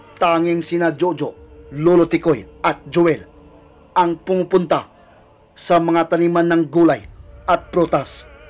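Over music in the background, a man talks in a high pitch at a fairly slow pace. His intonation stays monotone and flat. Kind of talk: horror story narration.

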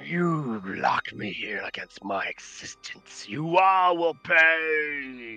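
Someone uses a put-on character voice at a middle pitch, speaking at a very slow pace. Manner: menacing.

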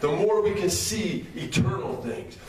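Speech comes at a fairly slow pace, with light background noise and audible room echo. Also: man. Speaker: minister, Bible study preacher. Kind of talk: sermon, preaching at an outdoor Bible study. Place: hall.

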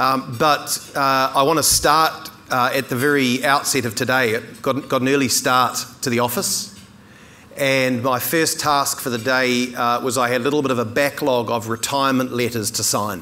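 The speaker is a man with fairly even intonation. He keeps a moderate pace. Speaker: keynote speaker. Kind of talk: keynote speech. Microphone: lapel.

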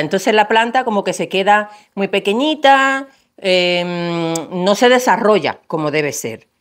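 Speaking at a very slow pace, a woman moves through very wide pitch swings. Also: quiet background. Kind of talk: tutorial. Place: garden. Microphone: lapel.

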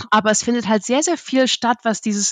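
A woman speaks with fairly even intonation against a quiet background. The sound is dry and close, with no echo. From Germany, Dresden (Saxony). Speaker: market research analyst. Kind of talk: interview conversation. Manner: mumbles a bit.

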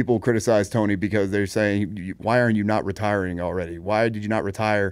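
The intonation is flat and monotone. The pace is fairly quick. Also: man. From Las Vegas. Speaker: combat sports podcast host, former college football player; combat sports podcast host. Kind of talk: casual chat. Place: studio. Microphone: studio mic.

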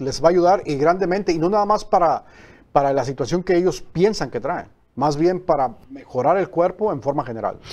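A man talks at a high pitch, his intonation lively. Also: fairly quick pace. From Mexico. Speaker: phototherapy patch promoter; talk show guest. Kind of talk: TV interview. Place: studio. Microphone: lapel.

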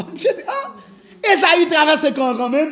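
The man talks at a moderate pace. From Haiti. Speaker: pastor; pastor giving a conference. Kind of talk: sermon. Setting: church. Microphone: camera far.

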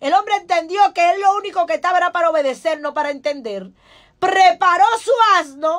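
An animated voice moves at a fairly quick pace with ordinary pitch variation. The background is quiet. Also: woman, extremely high pitch for a woman. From Dominican Republic. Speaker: pastor; pastor, preacher. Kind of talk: radio sermon. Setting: radio studio. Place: studio. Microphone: studio mic.

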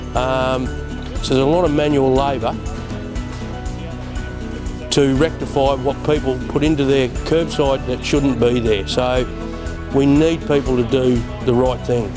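Against clear music in the background, the speech moves at a fairly slow pace with very even loudness and long, frequent pauses. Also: man. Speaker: council services supervisor guide. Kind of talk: tour explanation. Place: factory.

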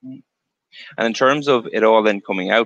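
In an Irish accent, a man speaks with a bright, sharp tone and fairly even intonation, the sound dry with no echo against a quiet background. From Ireland. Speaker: show host, interviewer. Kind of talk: casual interview. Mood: friendly, light banter.

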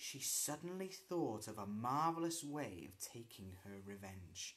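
A man talks at a very slow pace, with very wide pitch swings. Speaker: storyteller. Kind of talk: story read-aloud with character voices. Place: home room. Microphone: phone near.

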